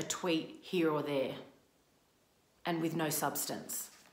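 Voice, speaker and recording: The recording carries audible room echo. A woman speaks with a fairly low pitch. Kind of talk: reading a prepared open statement. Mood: frustrated, earnest. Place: home room. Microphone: phone near.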